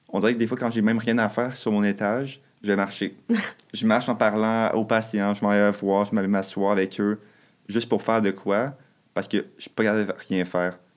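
A man speaks in a Quebec accent at a fairly low pitch, with monotone, flat intonation. It is a very clean recording with a silent background. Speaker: nursing student. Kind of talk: casual chat. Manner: fast.

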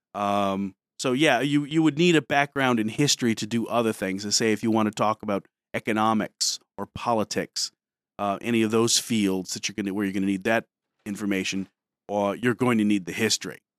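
With an American accent and an ordinary speaking voice, a man talks at a fairly quick pace and fairly low pitch with ordinary pitch variation, in a dry, close sound with no echo on a very clean recording with a silent background. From Detroit, US Midwest. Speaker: high school history teacher, former Marine. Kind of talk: interview on a school morning show.

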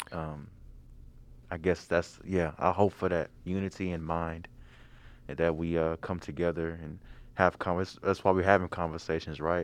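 A man with an American accent speaks in a very deep, low pitch, monotone and flat, with long, frequent pauses. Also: moderate pace. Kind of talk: casual chat.

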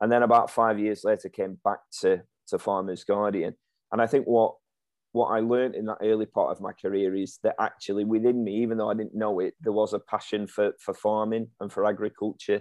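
A man speaks with a Lancashire accent at a fairly low pitch. His intonation is monotone and flat, and his pace is fairly quick. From Lancashire, England (Ribble Valley). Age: 30s. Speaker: farming magazine editor. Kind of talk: interview.

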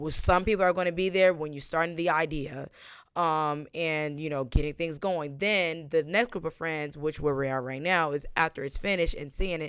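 A woman speaks at a moderate pace with fairly even intonation and a very deep, low pitch. The recording is very clean, with a silent background. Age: 20s. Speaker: business founder. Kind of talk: casual interview chat.

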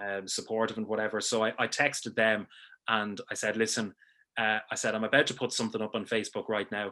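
Against a quiet background, a man with a Dublin accent talks very fast in a fairly low, monotone, flat voice. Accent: Dublin Irish. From Ireland, Dublin. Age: 30s. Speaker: sports broadcaster and gym member. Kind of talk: casual interview. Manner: halting, many fillers and repeats.

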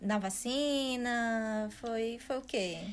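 With a fairly high pitch and ordinary pitch variation, a woman is heard through audible room echo and noticeable background noise. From Ceará, Brazil. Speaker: podcast guest. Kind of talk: casual chat.

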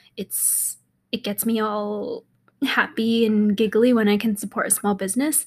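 A woman's fairly high, somewhat breathy voice with fairly even intonation at a moderate pace. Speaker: podcast host, fashion entrepreneur. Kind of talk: casual solo monologue. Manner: giggly, frequent laughter; rambling, many fillers.

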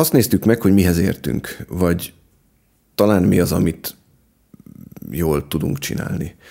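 A man's very deep, low voice with a dark, mellow tone and vocal fry, at a fairly slow pace with long, frequent pauses. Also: ordinary pitch variation. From Budapest, Hungary. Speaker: farmer and gardener. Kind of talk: interview. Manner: hesitant, repeats words.

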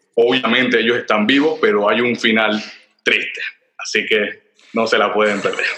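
Intonation stays fairly even as a man talks at a medium pitch. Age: 30s. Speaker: film director. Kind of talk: casual interview.

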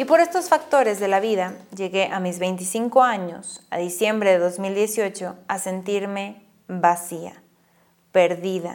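Her pace very slow, a woman is speaking. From northern Mexico (Monclova, Coahuila). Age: 20s. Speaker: podcast host, writer and actress. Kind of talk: guided reflection; personal storytelling monologue.

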